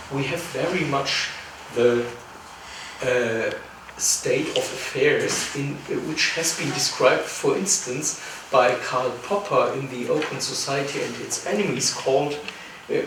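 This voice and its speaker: A man with a German accent at a fairly slow pace, with audible room echo and noticeable background noise. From Germany. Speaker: philosopher, panelist. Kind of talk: panel discussion.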